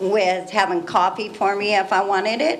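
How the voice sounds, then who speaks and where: A woman speaks with a West Coast accent. There is noticeable background noise and audible room echo. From Northern California, Ukiah area. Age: 60s. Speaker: member of the public. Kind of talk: public comment.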